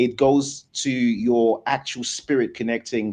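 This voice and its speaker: A man with an unremarkable speaking voice, pitched in the middle range and showing ordinary pitch variation, can be heard over a quiet background. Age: 40s. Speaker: debate show host. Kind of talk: live debate discussion.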